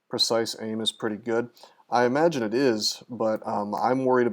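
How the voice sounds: The intonation stays fairly level in this natural reading voice.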